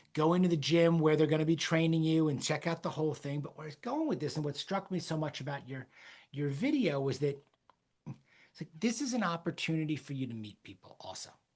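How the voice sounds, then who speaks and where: A man speaks at a fairly quick pace in an ordinary speaking voice, fairly high in pitch, with ordinary pitch variation and big swings in loudness. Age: 50s. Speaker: podcast host. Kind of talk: casual chat.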